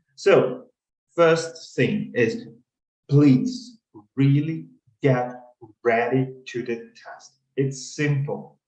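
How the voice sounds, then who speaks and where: Speaking at a very slow pace with long, frequent pauses, a man swings widely in loudness amid audible room echo. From Ukraine. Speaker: consulting interview coach. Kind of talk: webinar. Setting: video call webinar.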